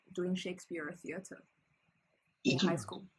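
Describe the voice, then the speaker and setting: A woman with a Chinese accent. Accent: reduced Chinese. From China, Shandong province. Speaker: PhD student. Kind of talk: casual interview conversation. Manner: halting, with many fillers and restarts.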